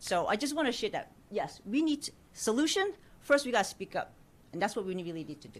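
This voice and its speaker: A woman with an American accent and a fairly high pitch talks at a very fast pace, with very wide pitch swings, big swings in loudness, and long, frequent pauses. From New York. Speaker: community member at a panel. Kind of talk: audience comment at public forum. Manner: animated.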